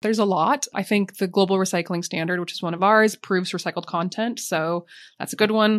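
A woman with a normal speaking voice, medium pitch, fairly quick pace and fairly even intonation, over a quiet background. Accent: American. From US, Montana. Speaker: sustainability executive. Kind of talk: interview.

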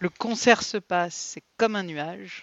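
A woman's voice with ordinary pitch variation. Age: 50s. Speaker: podcast co-host. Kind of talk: casual chat.

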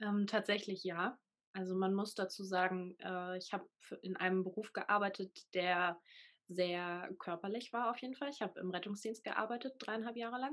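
In a plain, everyday voice of medium pitch, a woman speaks at a moderate pace with ordinary pitch variation in a very clean recording with a silent background. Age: 20s. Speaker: full-time van nomad. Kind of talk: interview.

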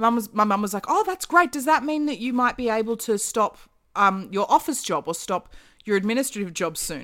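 In a very clean recording with a silent background, a woman with an Australian accent speaks at a fairly high pitch and fairly quick pace with very wide pitch swings. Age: 30s. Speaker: actor, podcast guest. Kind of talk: casual chat.

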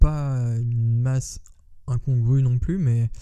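His pitch sits in the middle range. The man's voice has a dark, mellow tone. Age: 30s. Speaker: podcast host. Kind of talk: casual monologue. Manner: hesitant, many fillers.

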